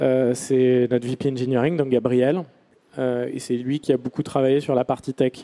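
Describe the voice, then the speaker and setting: With a dark, mellow tone, a man talks at a fairly slow pace in flat, monotone intonation and very even loudness, in a dry, close sound with no echo. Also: medium pitch for a man. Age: 30s. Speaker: startup founder. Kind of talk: talk to an audience. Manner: halting, many fillers and repetitions.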